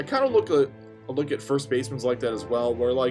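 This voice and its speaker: A man talks with music in the background. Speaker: sports commentary YouTuber. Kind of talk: casual talk to camera. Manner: stuttering, stumbling.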